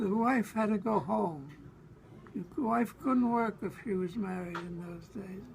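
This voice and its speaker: A man with a New York accent, high pitch, lively intonation and a fairly slow pace, over noticeable background noise. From Brooklyn, New York. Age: 80s+. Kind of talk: interview answer. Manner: halting, hesitant.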